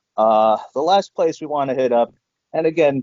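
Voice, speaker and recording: A man with an unremarkable speaking voice, medium pitch and moderate pace. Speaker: stock trader guest. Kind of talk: casual screen-share discussion.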